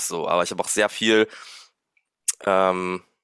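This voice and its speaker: A man speaks with a dry, close sound and no echo. The recording is very clean, with a silent background. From Luxembourg. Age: 20s. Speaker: music student and drummer running an online business. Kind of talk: interview. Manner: casual, many fillers.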